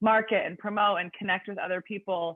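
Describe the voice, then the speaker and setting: The pace is moderate. The speaker is a woman. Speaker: personal trainer. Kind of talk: podcast interview. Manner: loud; talkative.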